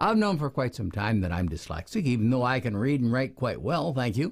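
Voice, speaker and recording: A man's voice comes across somewhat breathy. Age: 70s. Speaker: education researcher; reading teacher or educator. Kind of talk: lecture. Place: home room.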